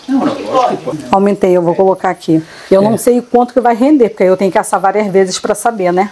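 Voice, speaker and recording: A woman speaks at a very fast pace with ordinary pitch variation. Her loudness stays very even over light background noise. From Rio de Janeiro, Brazil. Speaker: cook; cook demonstrating the recipe. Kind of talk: cooking demonstration. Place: kitchen.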